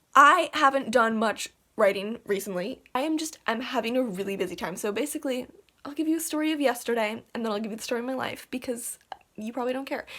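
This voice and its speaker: A woman speaks very fast in a high voice with ordinary pitch variation. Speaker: writer and vlogger. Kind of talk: casual vlog.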